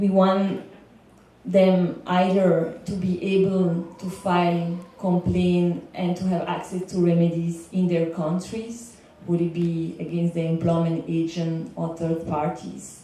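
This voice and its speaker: In a Belgian accent, a woman speaks very slowly at a fairly low pitch with monotone, flat intonation, amid noticeable background noise and audible room echo. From Belgium. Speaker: legal consultant for migrant workers. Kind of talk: panel talk. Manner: some hesitation and filler words.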